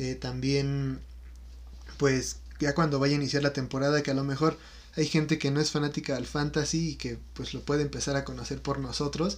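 Talking at a fairly quick pace, a man speaks with a Mexican accent. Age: 20s. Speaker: podcast co-host, student. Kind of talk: casual chat.

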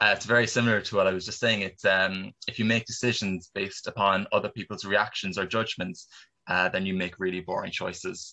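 A man with a Cork accent, bright, sharp tone and fairly low pitch, monotone and flat, at a fairly quick pace against a quiet background. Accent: Cork Irish. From Ireland, Cork. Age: 20s. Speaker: filmmaker and actor. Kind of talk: interview.

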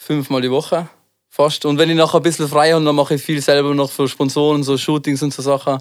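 A man talks at a very fast pace. His fairly high pitch stays monotone and flat. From Tyrol, Austria. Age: 20s. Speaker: freestyle skier and rapper. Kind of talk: casual chat.

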